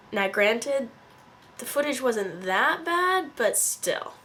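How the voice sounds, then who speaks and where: With a Californian accent, a woman speaks at a fairly slow pace in an animated tone over noticeable background noise. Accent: Californian American. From Northern California. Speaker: vlogger. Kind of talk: casual vlog narration.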